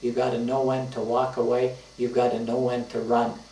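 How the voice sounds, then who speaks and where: A man at a medium pitch speaks in a monotone, flat intonation at a moderate pace. Audible room echo and noticeable background noise surround him. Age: 70s. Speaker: retired teacher and author. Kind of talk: casual reminiscing monologue. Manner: halting, many fillers.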